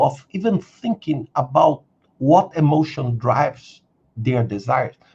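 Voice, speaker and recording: With a Brazilian accent, a man speaks at a fairly slow pace in a somewhat breathy, fairly high voice with lively intonation. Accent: non-native English, Brazilian. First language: Brazilian Portuguese. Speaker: career coach and video creator. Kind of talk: live stream Q&A. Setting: live stream. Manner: halting, many fillers and repetitions.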